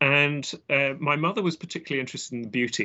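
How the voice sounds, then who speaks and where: Lively intonation marks a man speaking with an English accent. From southwest London, England. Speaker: botanist and author. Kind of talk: interview. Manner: halting, many fillers.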